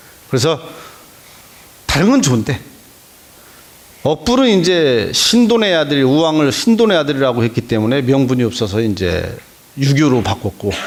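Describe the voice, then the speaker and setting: With noticeable background noise, a man speaks at a fairly high pitch and moderate pace, his pitch swinging very widely while his loudness stays very even, broken by long, frequent pauses. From Korea, Boryeong area (Chungcheong). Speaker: history lecturer, news editor. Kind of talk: lecture.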